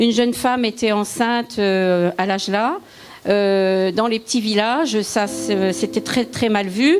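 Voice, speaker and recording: A woman's voice sits at a fairly high pitch with ordinary pitch variation. She speaks at a very slow pace. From eastern France (Lorraine, Vosges). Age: 70s. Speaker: churchgoer giving testimony. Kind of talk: testimony. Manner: halting.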